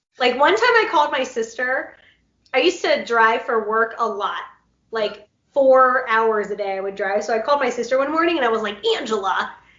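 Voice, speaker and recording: In an animated tone at a fairly quick pace, a high-pitched woman talks with ordinary pitch variation and audible room echo. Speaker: interviewer, podcast host. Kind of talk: casual chat. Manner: loud when excited.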